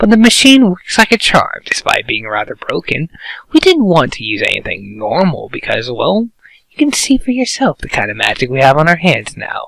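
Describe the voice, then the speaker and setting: A man does a put-on character voice at a moderate pace, with big swings in loudness. The sound is dry and close, with no echo. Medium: read story. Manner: casual, smug.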